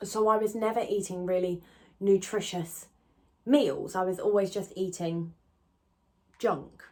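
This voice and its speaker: Here a woman speaks in an English accent at medium pitch. She keeps a moderate pace with ordinary pitch variation. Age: 20s. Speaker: YouTuber. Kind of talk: casual chat.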